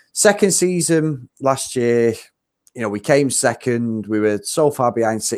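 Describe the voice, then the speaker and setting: A man speaks at a medium pitch with a British accent and ordinary pitch variation. The recording is very clean, with a silent background. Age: 40s. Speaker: podcast host. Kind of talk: casual chat.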